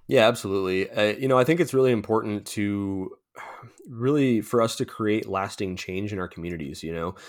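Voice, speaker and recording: At a fairly quick pace, a man with an American accent talks at a fairly low pitch with ordinary pitch variation. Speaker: nonprofit founder for men's mental health. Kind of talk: casual interview podcast. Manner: halting.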